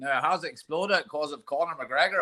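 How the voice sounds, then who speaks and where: In a Northern Irish accent, a man speaks at a moderate pace. His tone is bright and sharp. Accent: Ballymena Northern Irish. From Northern Ireland, Ballymena. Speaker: MMA coach. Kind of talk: casual chat.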